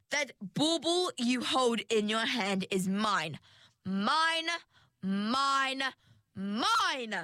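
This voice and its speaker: A woman's put-on character voice, shrill and fairly high-pitched, at a very slow pace. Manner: shrill screeching.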